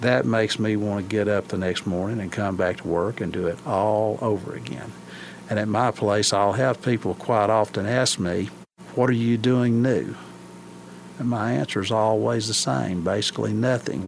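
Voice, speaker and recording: A man talks in an Appalachian accent at a fairly low pitch. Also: ordinary pitch variation, moderate pace. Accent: Appalachian Southern. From Scott County, Virginia. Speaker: country ham curer. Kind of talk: interview.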